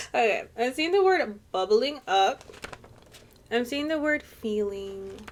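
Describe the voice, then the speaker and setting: At a very slow pace, the speaker's voice swings very widely in pitch against noticeable background noise. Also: woman, fairly high pitch for a woman. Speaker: tarot card reader. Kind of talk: channeled reading. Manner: casual, rambling.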